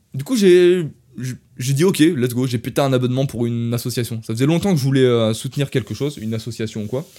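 A man's medium-pitched voice runs fairly quickly, its pitch varying in an ordinary way. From France. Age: 20s. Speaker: podcaster. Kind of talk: casual storytelling monologue. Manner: animated.

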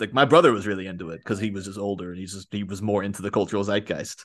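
Over a quiet background, a man with a Northern Irish accent talks very fast at a fairly low pitch. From Northern Ireland, near Belfast. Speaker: podcaster. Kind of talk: casual chat.

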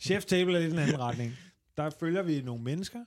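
Using an unremarkable speaking voice, this man talks at a moderate pace with lively intonation and a fairly high pitch. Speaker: comedian. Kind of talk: casual chat.

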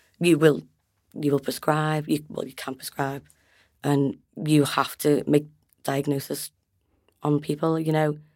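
A woman with a Liverpool accent and a very deep, low pitch, flat monotone delivery at a fairly slow pace, long and frequent pauses, on a very clean recording with a silent background. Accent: Liverpool Scouse, moderate. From Liverpool, northern England. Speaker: trainee nurse. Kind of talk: casual interview chat.

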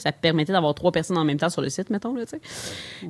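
A woman's fairly low voice with a Quebec accent and lively intonation. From Quebec, Longueuil. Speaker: brewery and convenience store co-owner. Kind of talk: interview conversation.

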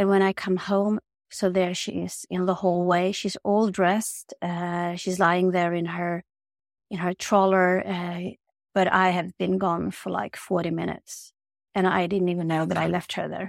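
A woman with a Swedish accent speaks in a monotone, flat way at a fairly low pitch. The recording is very clean, with a silent background and a dry, close sound with no echo. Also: fairly slow pace. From Sweden. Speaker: holistic healer and yoga teacher. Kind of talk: personal testimony in interview.

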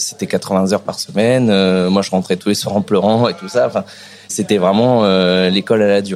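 Over music in the background, a man with a fairly low pitch talks at a moderate pace with ordinary pitch variation. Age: young. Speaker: chef, restaurant owner. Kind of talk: casual interview. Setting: in a restaurant.

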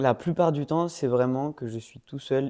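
The recording is dry and close, with no echo. A man with a dark, mellow tone speaks very slowly with ordinary pitch variation. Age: 20s. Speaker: master's student and amateur musician. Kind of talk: casual chat.

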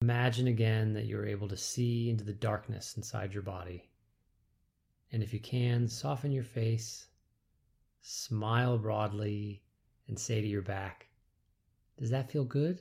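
A man's medium-pitched, somewhat breathy voice with a dark, mellow tone and a calm, soothing delivery, at a fairly slow pace with fairly even intonation and long, frequent pauses, on a very clean recording with a silent background. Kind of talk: guided movement meditation instruction. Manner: slow, calm, soothing, measured.

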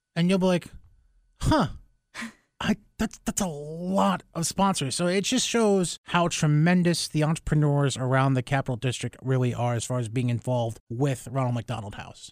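A man with an American accent speaks with lively intonation in a very clean recording with a silent background. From Albany, New York. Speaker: radio host. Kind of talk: casual interview. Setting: studio.

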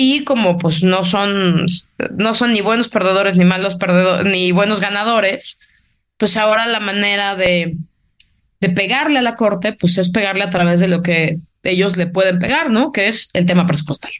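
This is a normal speaking voice from a woman with medium pitch. She talks at a moderate pace with ordinary pitch variation. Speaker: political analyst. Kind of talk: casual political discussion.

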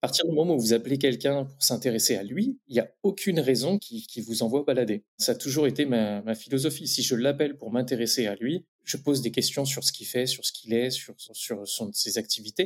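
In an ordinary speaking voice, a man talks at medium pitch with hardly any pauses. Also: ordinary pitch variation, fairly quick pace. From France, Champagne-Ardenne (Reims). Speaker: entrepreneur in beekeeping. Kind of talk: interview about career path.

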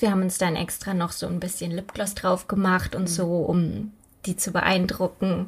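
Her voice somewhat breathy, a woman speaks at a moderate pace. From Germany, Übach-Palenberg near Aachen. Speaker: true crime podcaster. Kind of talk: casual storytelling chat.

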